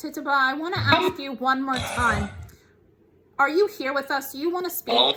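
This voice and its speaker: A woman with a high voice speaks in a raised, projected voice. Her pace is moderate and her pitch variation ordinary. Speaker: paranormal YouTuber, spirit communication host. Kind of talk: casual talk to camera, paranormal investigation narration.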